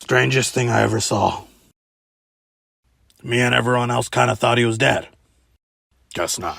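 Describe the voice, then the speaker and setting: Putting on a raspy character voice, a man talks at a moderate pace with long, frequent pauses. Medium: fan dub. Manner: casual storyteller, folksy.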